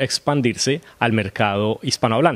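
Sounding dry and close with no echo, a man speaks in an unremarkable speaking voice. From Colombia. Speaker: actor. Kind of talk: interview.

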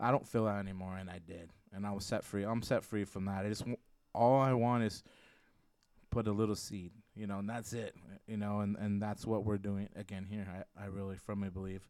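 Over a very clean recording with a silent background, a man talks at a fairly quick pace in a fairly low voice. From Mexican-American. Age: 40s. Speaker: guest author and singer. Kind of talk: casual chat. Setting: studio. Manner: energetic.

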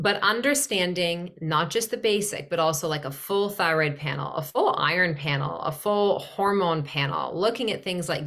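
Her pitch is fairly low and varies an ordinary amount. This woman, with an ordinary speaking voice, keeps a moderate pace. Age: 40s. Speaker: nutritionist and women's health specialist. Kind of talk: casual interview chat.

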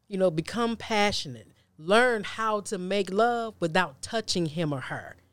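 A woman with a plain, everyday voice talks at a fairly slow pace and medium pitch with ordinary pitch variation, in a very clean recording with a silent background. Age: 40s. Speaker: preacher and author. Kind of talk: casual chat.

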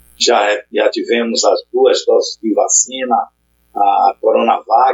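A man speaks at a very slow pace. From Brazil, Salvador (Bahia). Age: 60s. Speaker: poet and public school biologist. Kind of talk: casual interview chat.

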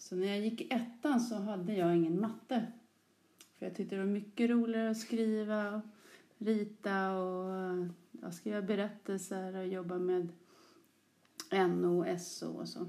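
Amid audible room echo, a woman with a dark, mellow tone speaks at a fairly slow pace and medium pitch with ordinary pitch variation. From Stockholm area, Sollentuna. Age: 40s. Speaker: teacher. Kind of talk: interview.

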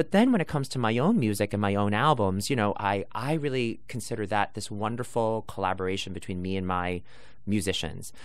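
Over audible room echo, a man with an American accent and a fairly low pitch talks at a fairly quick pace with ordinary pitch variation. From New York, Brooklyn. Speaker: Broadway actor and singer. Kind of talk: interview. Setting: sitting near the theater.

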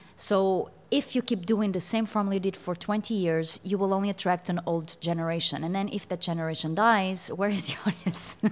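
A woman with a Portuguese accent, medium pitch, fairly even intonation and a fairly quick pace with hardly any pauses. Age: 30s. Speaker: singer. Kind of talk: interview. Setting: studio.

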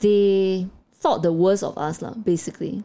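A woman talks at medium pitch with a dark, mellow tone. Her pace is moderate and her pitch varies in an ordinary way. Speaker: podcast co-host. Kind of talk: casual chat.

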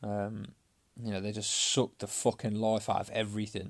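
A man's fairly low voice in a passionate tone at a moderate pace, on a very clean recording with a silent background. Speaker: fitness coach and podcaster. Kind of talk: solo podcast monologue, personal and emotional. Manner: hesitant, halting, passionate; unscripted, conversational, swears casually.

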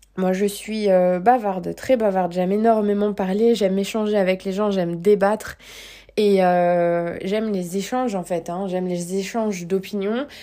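A woman speaks at a fairly slow pace. Her medium pitch carries a dark, mellow tone. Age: 30s. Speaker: life coach. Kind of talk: podcast monologue. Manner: animated.

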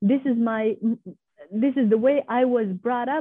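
High pitch in a woman's voice. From Afghanistan, Pashtun. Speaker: scholar and women's rights activist. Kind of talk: interview. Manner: halting, frequent repetitions.

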